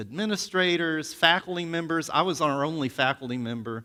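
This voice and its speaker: Loud and at a moderate pace, a man with an American accent speaks in a fairly high pitch with very wide pitch swings, in a very clean recording with a silent background. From US South, Alabama. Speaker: seminary professor. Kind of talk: sermon.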